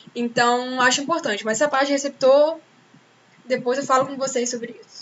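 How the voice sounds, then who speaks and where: Her pace is fairly quick. This woman's voice is high in pitch. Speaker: teacher. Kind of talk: lecture. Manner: fast; animated.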